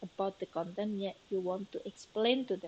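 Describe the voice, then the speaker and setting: Over a quiet background, a woman talks with a non-native accent. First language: not English. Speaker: teacher. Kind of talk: lecture. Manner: hesitant, many fillers.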